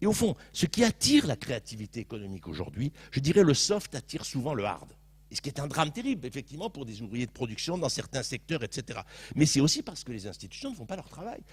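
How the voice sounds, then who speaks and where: A man speaks in an animated tone at a very fast pace, his voice fairly high with vocal fry. His loudness swings widely and his pitch rises and falls dramatically. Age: 60s. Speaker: panelist in a public debate. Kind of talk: panel discussion.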